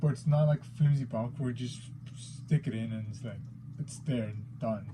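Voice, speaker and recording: Somewhat breathy, with a dark, mellow tone and a non-native accent, a man speaks at a moderate pace and medium pitch with fairly even intonation. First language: not English. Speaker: figure collector YouTuber. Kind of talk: unboxing video. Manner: hesitant, many fillers.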